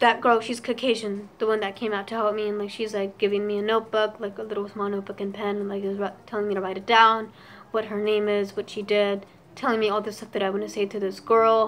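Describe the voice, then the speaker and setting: In a medium pitch, a woman talks at a very fast pace with monotone, flat intonation. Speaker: YouTuber. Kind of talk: storytime vlog. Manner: stuttering.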